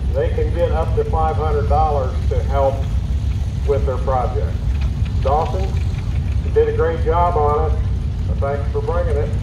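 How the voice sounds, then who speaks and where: Noticeable background noise surrounds a man who talks at a moderate pace with long, frequent pauses. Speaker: event announcer. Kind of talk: public announcement and interview. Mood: friendly, casual. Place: open country.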